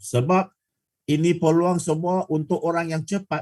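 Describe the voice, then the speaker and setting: The sound is dry and close with no echo as a man speaks in a high voice with ordinary pitch variation. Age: 60s. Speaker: product presenter. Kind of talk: sales pitch. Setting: video call. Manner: halting.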